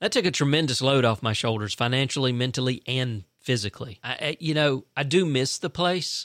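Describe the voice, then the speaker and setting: A man's fairly quick speech, with ordinary pitch variation, comes through a very clean recording with a silent background and a dry, close sound with no echo. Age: 50s. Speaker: solo podcaster. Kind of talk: personal monologue. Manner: casual, rambling with hesitations.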